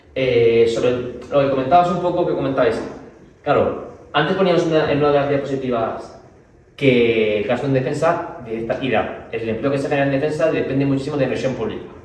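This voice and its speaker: Delivered at a fairly quick pace with ordinary pitch variation, the speech comes with audible room echo and noticeable background noise. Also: man, fairly high pitch for a man. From Spain, Valladolid. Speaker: party official, speaker. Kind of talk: Q&A at a public talk.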